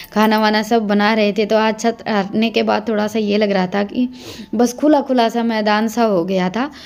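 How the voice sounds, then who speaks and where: Her voice is fairly high for a woman, and this woman talks at a moderate pace with fairly even intonation. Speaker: village vlogger. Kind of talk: vlog narration.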